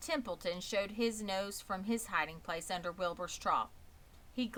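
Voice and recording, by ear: The speaker reads aloud in a natural voice, and the pitch varies in an ordinary way.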